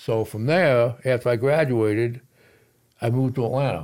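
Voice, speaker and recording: A man with a New York accent is heard in a very clean recording with a silent background. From New York City. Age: 70s. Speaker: military veteran and jiu-jitsu student. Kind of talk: casual chat.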